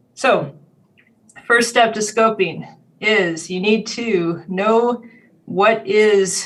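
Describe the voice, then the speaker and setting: Audible room echo surrounds a woman who speaks very slowly with ordinary pitch variation. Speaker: cybersecurity compliance consultant and instructor. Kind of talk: conference presentation. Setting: video call.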